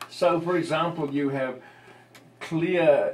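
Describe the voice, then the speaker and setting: A man with a non-native accent and fairly high pitch, at a very slow pace, amid audible room echo and noticeable background noise. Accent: non-American English dialect. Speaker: linguistics lecturer, audience member. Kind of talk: academic Q&A discussion.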